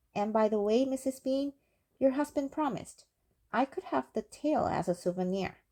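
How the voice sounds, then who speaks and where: A female-sounding voice is doing a put-on character voice. It is high-pitched and moves at a moderate pace. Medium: read story.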